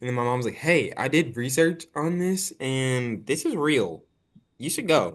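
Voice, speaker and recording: Speaking at a fairly slow pace, a man uses a fairly high pitch. His intonation is lively. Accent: slight country. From Arkansas and Dallas, Texas. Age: 20s. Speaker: actor and filmmaker. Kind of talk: casual interview chat.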